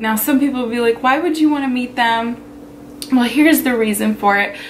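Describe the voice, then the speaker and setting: A woman's high-pitched voice at a fairly quick pace, with ordinary pitch variation and noticeable background noise. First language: Pennsylvania Dutch (German Dutch). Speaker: vlogger. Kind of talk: casual personal talk to camera.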